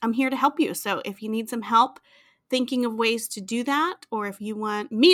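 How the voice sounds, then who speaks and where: Animated and bright, with a sharp tone, a woman speaks at a fairly high pitch and a moderate pace. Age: 40s. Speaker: podcast host and art teacher. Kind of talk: casual interview chat.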